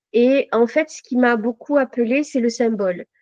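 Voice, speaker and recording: A woman's fairly high voice at a fairly slow pace. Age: 60s. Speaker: tarot reader and numerologist. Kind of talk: interview. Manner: halting.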